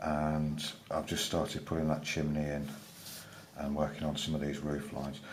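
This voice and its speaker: Mumbling at a moderate pace, a man with a very deep, low voice speaks in a monotone, flat way amid audible room echo and noticeable background noise. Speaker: drawing tutor. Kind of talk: tutorial. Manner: casual, hesitant with many fillers.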